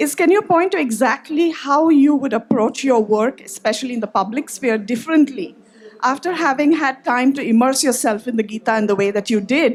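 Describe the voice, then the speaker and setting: Very fast and high-pitched, a woman speaks with lively intonation. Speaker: audience member. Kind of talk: audience question. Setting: audience at festival. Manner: quiet.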